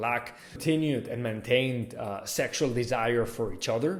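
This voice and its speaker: This man speaks with a Catalan accent at a moderate pace and a medium pitch. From Catalonia, Spain (Barcelona). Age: 20s. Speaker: lifestyle vlogger. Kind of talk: personal vlog monologue.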